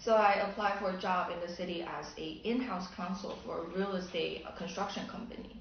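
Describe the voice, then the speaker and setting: Speaking in a Chinese accent at a fairly quick pace, a woman has a medium pitch and fairly even intonation. Audible room echo and noticeable background noise are present. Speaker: attorney. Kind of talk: documentary interview. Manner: hesitant, with fillers.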